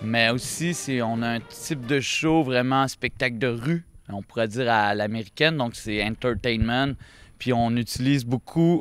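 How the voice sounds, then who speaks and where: In a Quebec accent, a man speaks at a medium pitch and a very slow pace. The recording is very clean, with a silent background. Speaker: street performer. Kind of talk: interview.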